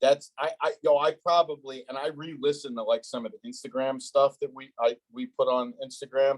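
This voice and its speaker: Hardly pausing, a man with a New Jersey accent talks at a moderate pace and a fairly high pitch, with lively intonation and big swings in loudness, in a dry, close sound with no echo. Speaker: podcast host. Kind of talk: casual interview. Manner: blunt, direct.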